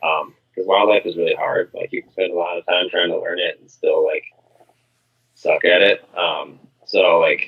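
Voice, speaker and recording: Mumbling in an Upper Midwest accent, the speaker keeps a moderate pace with big swings in loudness. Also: man. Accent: Upper Midwest American. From Minnesota. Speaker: pest control business owner. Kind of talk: podcast interview.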